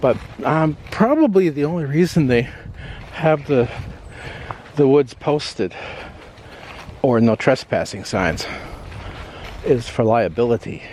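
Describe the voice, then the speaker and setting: A man with an American accent at a fairly high pitch, fairly slow and full of long, frequent pauses, over noticeable background noise. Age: 60s. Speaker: vlogger. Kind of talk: casual walking vlog narration. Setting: outdoors. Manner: halting.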